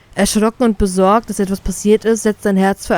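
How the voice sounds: The delivery is a natural reading voice. Intonation stays fairly even.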